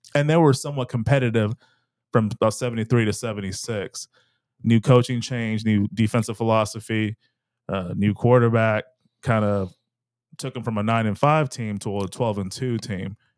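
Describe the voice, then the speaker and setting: A man with an American accent and a plain, everyday voice, medium pitch, fairly even intonation and a moderate pace, on a very clean recording with a silent background and a dry, close sound with no echo. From Texas. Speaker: sports podcast co-host. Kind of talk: casual chat.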